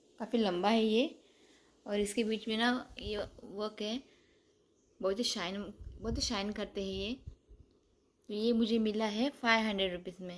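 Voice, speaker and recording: A woman speaks at a fairly high pitch with fairly even intonation. Her delivery has long, frequent pauses. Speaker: vlogger. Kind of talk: casual vlog, shopping haul. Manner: halting, with hesitations.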